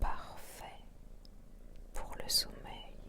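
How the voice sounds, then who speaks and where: A whisper comes through very slowly with noticeable background noise behind it. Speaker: hypnotherapist. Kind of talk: guided hypnosis session. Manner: whispered; slow, soothing.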